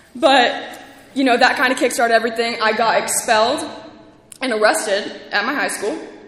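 A woman with a high pitch talks at a moderate pace over noticeable background noise and audible room echo. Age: 20s. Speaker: podcast host and recovery speaker. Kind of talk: testimony at a recovery convention. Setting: stage with audience at a convention. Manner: shaky.

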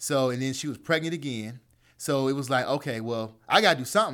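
A man speaks in a plain, everyday voice at a medium pitch. He uses ordinary pitch variation and a fairly quick pace. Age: 40s. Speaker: entrepreneur. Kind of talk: casual chat.

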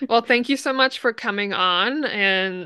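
Against a quiet background, a woman talks at a moderate pace with ordinary pitch variation in an unremarkable speaking voice. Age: 20s. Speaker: podcast host. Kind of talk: casual chat.

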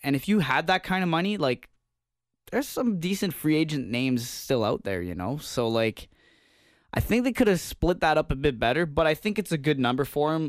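A man with a Canadian accent and a fairly high pitch, at a fairly quick pace with very wide pitch swings, in a very clean recording with a silent background. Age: 20s. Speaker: sports podcast host. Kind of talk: casual chat.

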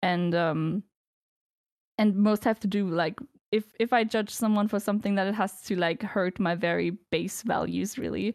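A woman with a non-native accent speaks at a moderate pace and medium pitch, her loudness very even and her intonation fairly even, in a dry, close recording with no echo that is very clean against a silent background. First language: not English. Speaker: streamer. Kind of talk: casual chat.

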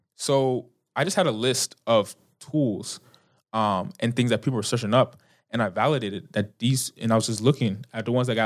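A man speaks at a moderate pace with medium pitch and ordinary pitch variation. The recording is very clean, with a silent background. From United States, Nigerian-American family. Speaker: startup founder and student. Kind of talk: interview. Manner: casual, many fillers.

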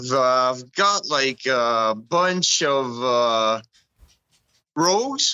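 A man with a French Canadian accent speaks at a medium pitch with lively intonation. His pace is very slow, with long, frequent pauses. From Edmundston, New Brunswick. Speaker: mountain biker and trail builder. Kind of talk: casual chat.

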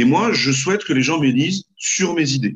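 A man at a moderate pace, somewhat breathy, with very wide pitch swings. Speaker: parliamentary candidate. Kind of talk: political interview.

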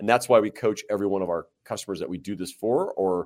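A Midwestern American accent in a very clean recording with a silent background. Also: man. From US Midwest, Central Illinois and St. Louis. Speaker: company founder and marketing consultant. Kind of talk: interview conversation.

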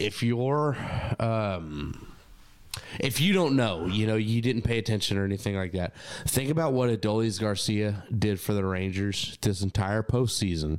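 This is an ordinary speaking voice from a man. He keeps a moderate pace and uses ordinary pitch variation. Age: 20s. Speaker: musician. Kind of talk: casual chat.

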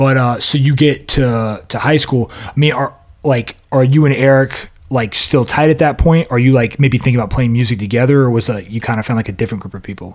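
A plain, everyday voice moves at a fairly quick pace, its pitch varying in an ordinary way. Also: man, medium pitch for a man. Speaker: podcast host. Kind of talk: casual chat, interview.

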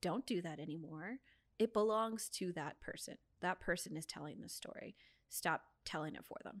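With an American accent, a woman speaks at medium pitch and a moderate pace, with ordinary pitch variation and big swings in loudness. The sound is dry and close, with no echo. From San Diego, California. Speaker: museum membership manager. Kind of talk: casual chat. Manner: animated.

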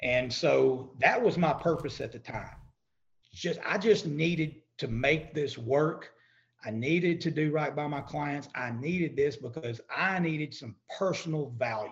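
A man talks at a fairly slow pace, his pitch fairly high with ordinary variation. The voice is somewhat breathy. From East Texas. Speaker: credit repair business owner. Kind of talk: podcast interview.

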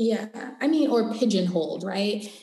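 Audible room echo surrounds a woman speaking in an American accent with a dark, mellow, somewhat breathy tone. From Los Angeles, US West Coast. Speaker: cannabis entrepreneur and educator. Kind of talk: interview conversation.

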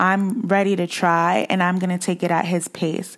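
Recorded very cleanly with a silent background, a woman uses a normal speaking voice at medium pitch and a moderate pace. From Boston, Massachusetts. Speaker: social work graduate student, podcaster. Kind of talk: casual interview, personal testimony.

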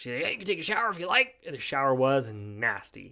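Mumbling at a fairly quick pace, a man speaks with an American accent on a very clean recording with a silent background. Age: 20s. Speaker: podcast host. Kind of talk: casual solo podcast monologue. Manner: casual, rambling, filler words; self-described mumbler.

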